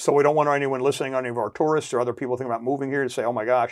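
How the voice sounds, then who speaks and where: In a very clean recording with a silent background, a man speaks at a very fast pace. His voice sits fairly high, and his intonation stays fairly even. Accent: American. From New Jersey. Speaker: chamber of commerce president. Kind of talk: casual interview. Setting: studio.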